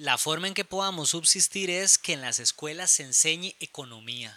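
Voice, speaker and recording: A man talks at a moderate pace. The sound is dry and close with no echo. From Costa Rica, Alajuela. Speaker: architect and writer. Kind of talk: casual chat. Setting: at home. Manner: halting.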